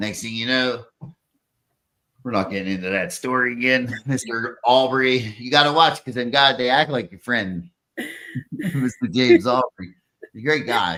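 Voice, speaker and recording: In a strong Pittsburgh accent, a man with a bright, sharp tone and medium pitch talks with long, frequent pauses. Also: ordinary pitch variation, moderate pace, big swings in loudness. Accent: thick Pittsburgh. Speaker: podcast host. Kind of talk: casual chat. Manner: animated.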